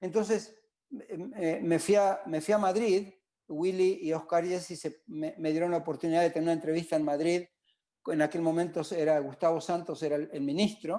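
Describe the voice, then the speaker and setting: A man with a high pitch and a dark, mellow tone, fairly even intonation, moderate pace, and a quiet background. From Argentina, Patagonia (Trelew). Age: 60s. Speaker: lay judge living abroad, interviewee. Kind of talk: casual interview chat. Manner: halting, many fillers and repetitions.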